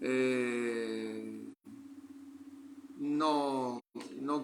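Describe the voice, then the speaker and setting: There is noticeable background noise and audible room echo as a man talks in a monotone, flat intonation. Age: 60s. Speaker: churchgoer giving testimony. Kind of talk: testimony. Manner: hesitant, many filler sounds.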